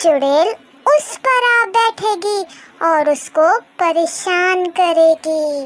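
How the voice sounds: A woman does a cartoonish character voice, squeaky and extremely high in pitch. She speaks very slowly with lively intonation.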